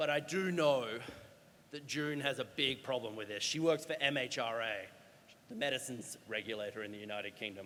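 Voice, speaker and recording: A man speaks with an Australian accent at a fairly quick pace. His pitch is medium, with ordinary pitch variation. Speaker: doctor and healthcare climate speaker. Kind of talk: conference talk. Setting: stage with audience. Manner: animated.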